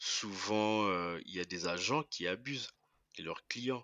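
Very slowly, a man talks in a fairly low pitch that shows ordinary variation. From DR Congo. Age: 20s. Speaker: entrepreneur. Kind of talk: interview. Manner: halting.

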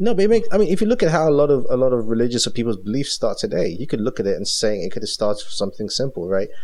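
Talking at a very fast pace with hardly any pauses, the speaker swings very widely in pitch over noticeable background noise. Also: man, medium pitch for a man. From Cameroon. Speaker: podcast host. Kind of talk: casual chat about movies.

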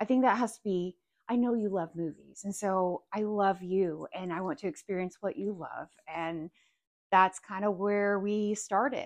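A woman uses an ordinary speaking voice at a medium pitch and a moderate pace. Her pitch varies normally, and the background is quiet. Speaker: parent. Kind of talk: casual chat.

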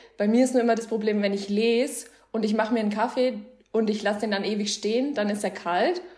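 Someone speaks at a very fast pace amid noticeable background noise and audible room echo. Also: woman, fairly high pitch for a woman. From Bavaria, Germany. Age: 20s. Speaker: book influencer. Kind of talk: casual chat.

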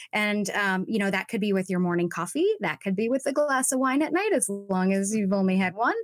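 A woman speaks in an ordinary speaking voice at medium pitch, with lively intonation and very even loudness. She talks at a fairly quick pace with hardly any pauses. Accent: American. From Southern California (Orange County). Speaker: social media coach for actors. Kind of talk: interview.

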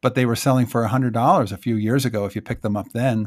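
On a very clean recording with a silent background, a man uses a normal speaking voice at a medium pitch with ordinary pitch variation. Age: 50s. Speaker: photographer. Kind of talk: solo podcast monologue.

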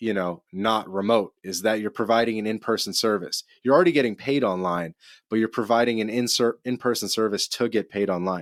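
A normal speaking voice at a fairly quick pace, with ordinary pitch variation, a dry, close sound with no echo, and a very clean recording over a silent background. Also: man. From Canada. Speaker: podcast host. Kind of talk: casual interview chat.

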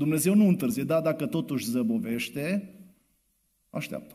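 A man with a dark, mellow tone, fairly high pitch, very wide pitch swings, and vocal fry. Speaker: preacher. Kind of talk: sermon. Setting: church. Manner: soft-spoken.

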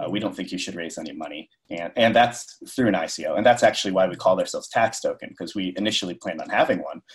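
The man talks at a very fast pace. He leaves hardly any pauses. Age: 20s. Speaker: crypto tax startup co-founder. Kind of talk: interview. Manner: hesitant, many fillers.

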